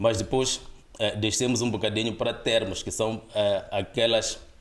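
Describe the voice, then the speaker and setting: A man with a Mozambican accent at a moderate pace. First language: Gitonga (speaking Portuguese). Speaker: linguist, dictionary author. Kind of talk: podcast interview. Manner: hesitant with fillers.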